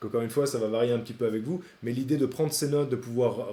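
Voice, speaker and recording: A man talks at a fairly quick pace with medium pitch. His intonation stays fairly even. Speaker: AI sales trainer / YouTuber. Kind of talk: tutorial. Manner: fast.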